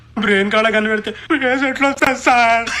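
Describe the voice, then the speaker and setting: Using a put-on character voice, a woman speaks with a fairly high pitch at a fairly quick pace over clear background noise. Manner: scared, timid.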